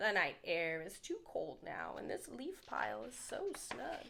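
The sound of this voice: A woman's put-on character voice, bright and sharp in tone, with vocal fry, big pitch swings and a fairly slow pace. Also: medium pitch for a woman.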